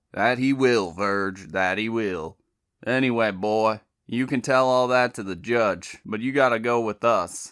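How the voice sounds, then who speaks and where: A gruff, drawling put-on character voice of a man in a Southern US accent, medium in pitch and fairly slow in pace, on a very clean recording with a silent background. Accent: Southern rural. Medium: read story. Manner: gruff, drawling, clipped orders.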